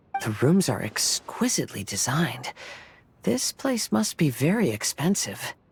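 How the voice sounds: A man puts on a character voice at a fairly high pitch, with big pitch swings and a fairly slow pace. It has a husky, rough edge and vocal fry.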